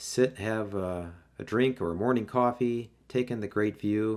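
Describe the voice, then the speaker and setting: This man has a normal speaking voice. He talks at a fairly slow pace with ordinary pitch variation. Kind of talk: tour commentary. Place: boat. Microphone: phone near.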